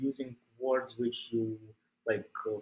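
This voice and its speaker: The speaker is a man with a Russian accent. He talks at a fairly slow pace. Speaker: ICU doctor. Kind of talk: interview. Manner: halting.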